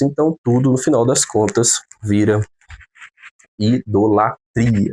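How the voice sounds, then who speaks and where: A man's fairly slow delivery keeps fairly even intonation over a quiet background. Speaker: theology teacher. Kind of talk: lecture.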